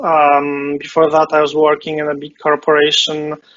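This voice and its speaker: With a Polish accent, a man speaks at a moderate pace in a fairly high pitch. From Poland. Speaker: game competition founder, web developer. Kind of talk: interview. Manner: hesitant, many fillers.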